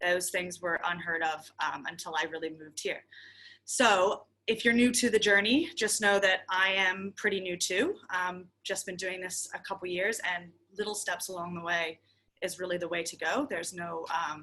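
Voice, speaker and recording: With an American accent, a woman speaks at a moderate pace in a medium pitch, her bright, sharp tone showing ordinary pitch variation. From United States. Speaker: shop owner. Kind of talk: workshop presentation.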